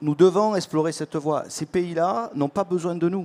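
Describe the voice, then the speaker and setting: Speaking with a Marseille accent at a moderate pace, a man uses a fairly high pitch with ordinary variation, in a dry, close sound with no echo. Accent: southern French (Marseille). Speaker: tech panelist. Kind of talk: panel discussion.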